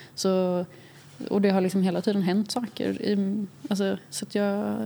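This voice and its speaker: A woman speaks at a medium pitch. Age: young. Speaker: young artist. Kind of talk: interview.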